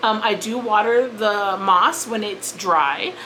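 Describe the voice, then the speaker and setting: A woman talks over noticeable background noise. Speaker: plant YouTuber. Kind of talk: casual vlog talk. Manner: hesitant, with fillers and restarts.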